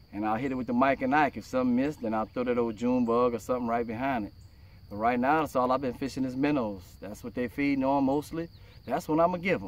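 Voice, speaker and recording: A man talks at a very fast pace with ordinary pitch variation, in a dry sound with no echo. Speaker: fishing vlogger. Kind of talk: casual vlog chat. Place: boat. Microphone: phone near.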